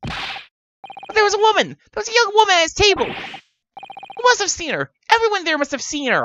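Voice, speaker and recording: An extremely high-pitched, put-on character voice races along with hardly any pauses. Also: moderate pace. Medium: virtual streamer. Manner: earnest, flustered, stammering.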